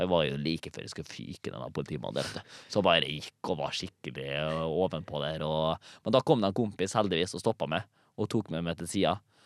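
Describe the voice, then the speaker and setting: A man speaks with a very deep, low pitch and vocal fry, at a fairly quick pace with ordinary pitch variation. The recording is very clean, with a silent background. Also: dry, close sound with no echo. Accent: strong Nordmøre. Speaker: comedian and TikTok creator. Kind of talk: casual chat.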